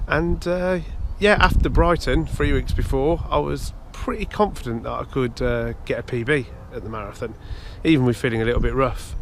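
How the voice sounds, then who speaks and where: A man with an English accent amid noticeable background noise. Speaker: amateur runner and vlogger. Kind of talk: casual vlog talk to camera. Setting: outdoors at a nature reserve. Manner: hesitant, many fillers.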